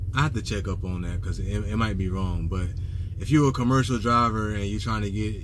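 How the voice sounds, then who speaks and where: A man speaks with fairly low pitch and ordinary pitch variation. Light background noise sits behind him. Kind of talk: casual vlog chat. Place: car. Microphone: phone near.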